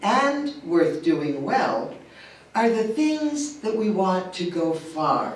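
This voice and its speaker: A woman speaks at a very slow pace with a medium pitch and very wide pitch swings, with audible room echo and noticeable background noise. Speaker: lay worship leader. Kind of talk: sermon. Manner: projecting.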